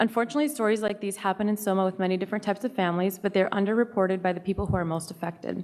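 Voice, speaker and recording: The woman's voice holds fairly even intonation at a medium pitch. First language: not English. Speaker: parent speaking at public comment. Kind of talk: public comment at school board meeting. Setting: school board meeting.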